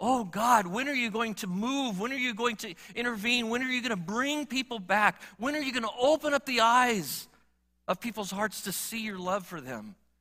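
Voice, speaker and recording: A man projects a raised voice at an extremely high pitch, with ordinary pitch variation and a moderate pace. His tone is warm and animated, yet bright and sharp. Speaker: preacher. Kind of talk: sermon. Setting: church. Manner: earnest, warm pastoral delivery, repeating phrases and building with rhetorical questions; animated, conversational, moving from plain talk to emphatic exhortation.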